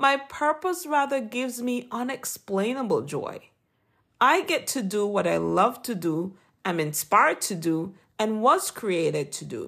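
A woman with a Jamaican accent, fairly high in pitch, with very wide pitch swings and a fairly slow pace. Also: very clean recording, silent background. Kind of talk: inspirational devotional talk. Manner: formal, earnest, encouraging.

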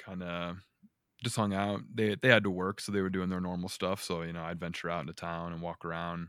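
On a very clean recording with a silent background, a man with an American accent speaks at a fairly quick pace in a very deep, low voice with fairly even intonation. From Northwest Indiana. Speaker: cook. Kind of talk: casual chat.

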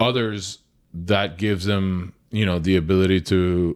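A man speaks with a very deep, low pitch and fairly even intonation at a fairly slow pace. The recording is very clean, with a silent background. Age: 30s. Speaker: restaurant owner. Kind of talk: casual interview.

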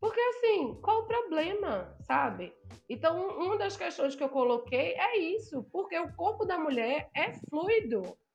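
The woman's pitch makes very wide swings. She talks at a fairly slow pace. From Brazil, Northeast. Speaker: blogger and influencer. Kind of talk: casual interview chat.

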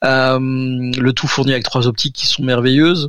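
An unremarkable speaking voice moves at a fairly slow pace. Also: man. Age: 30s. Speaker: architecture photographer. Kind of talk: casual interview. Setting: remote recording.

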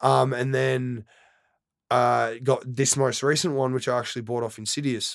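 The pace is moderate, in an Australian accent. The recording is very clean, with a silent background. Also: man. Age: 20s. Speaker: DJ and turntablist. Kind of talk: casual chat.

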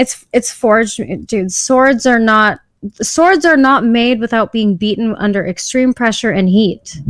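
At a fairly slow pace, a woman uses a normal speaking voice at a fairly high pitch, with very even loudness and ordinary pitch variation. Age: 30s. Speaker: podcast guest. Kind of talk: casual chat. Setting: video call.

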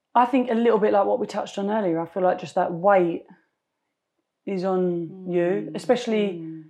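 With a London accent, a woman mumbles at a fairly quick pace, her medium-pitched voice rising and falling in an ordinary way. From East London, England. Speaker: fashion brand founder. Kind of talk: interview. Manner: trails off, mumbles.

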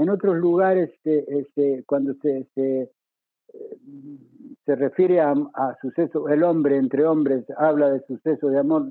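In an unremarkable speaking voice, a man with a fairly high pitch talks at a fairly slow pace with fairly even intonation. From Mendoza, Argentina. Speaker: former radio broadcaster. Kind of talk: interview.

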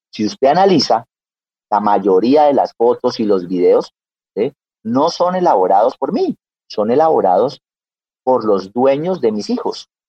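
Long, frequent pauses break up a man's fairly slow speech. His pitch swings very widely. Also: medium pitch for a man. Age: 40s. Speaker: dog breeder and architect. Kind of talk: radio interview.

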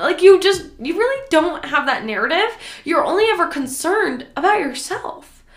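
An animated woman with an American accent speaks at a moderate pace with very wide pitch swings. Noticeable background noise runs under her voice. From US Midwest, Nebraska. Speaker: podcast host, fitness and lifestyle coach. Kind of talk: casual solo podcast monologue. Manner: animated, conversational.

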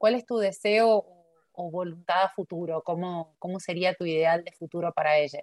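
A plain, everyday voice, heard in a dry, close sound with no echo, moves at a moderate pace with fairly even intonation and big swings in loudness. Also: woman, fairly low pitch for a woman. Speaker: podcast host, academic observatory coordinator. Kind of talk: interview.

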